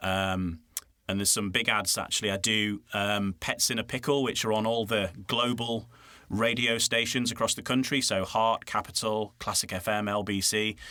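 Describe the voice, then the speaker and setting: In a very clean recording with a silent background, a man with a Yorkshire accent speaks at a fairly low pitch in a bright, sharp tone with fairly even intonation. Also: moderate pace. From Yorkshire, northern England. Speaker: voiceover artist and radio presenter. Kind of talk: casual interview chat. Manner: hesitant, many fillers and restarts.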